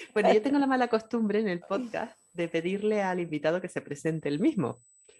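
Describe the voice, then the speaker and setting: Her dark, mellow tone and lively intonation come through as a woman with a Canarian accent speaks at medium pitch and a fairly quick pace. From Canary Islands, Tenerife. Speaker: podcast host, writer. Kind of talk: podcast interview.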